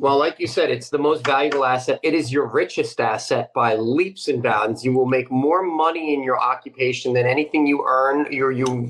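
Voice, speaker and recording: Using an ordinary speaking voice, a man talks with fairly even intonation and fairly high pitch. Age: 30s. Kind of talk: interview.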